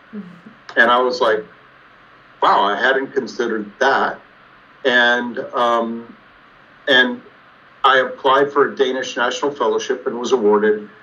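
Noticeable background noise accompanies a man with an American accent who speaks at a fairly slow pace with long, frequent pauses. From US Southwest, Tucson, Arizona. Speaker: engineering professor. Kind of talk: interview.

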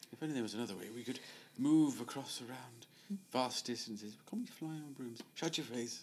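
The speech moves at a fairly quick pace with ordinary pitch variation and big swings in loudness. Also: man, medium pitch for a man. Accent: British. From UK. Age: 30s. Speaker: mentalist. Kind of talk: casual chat.

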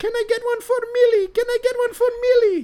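Using a put-on character voice with a German accent, the speaker goes at a fairly quick pace in an extremely high pitch.

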